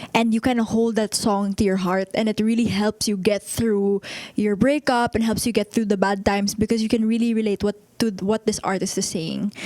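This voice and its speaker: A woman with a fairly high voice speaks fairly quickly in a monotone, flat intonation, with noticeable background noise behind her. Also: dry, close sound with no echo. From Philippines. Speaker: singer and pageant winner. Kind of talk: interview.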